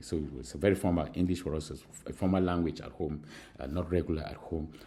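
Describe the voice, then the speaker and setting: At a fairly quick pace, a man with a very deep, low pitch and a dark, mellow tone sounds somewhat breathy, using ordinary pitch variation. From Cameroon. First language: Mankon. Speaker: university lecturer. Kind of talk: recorded lecture. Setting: recorded alone at school. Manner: halting, many fillers.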